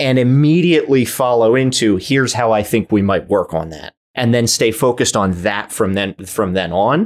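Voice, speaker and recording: In a very clean recording with a silent background, a man speaks at a moderate pace with hardly any pauses. He has an ordinary speaking voice, medium in pitch, with lively intonation. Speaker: podcast co-host. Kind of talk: casual chat.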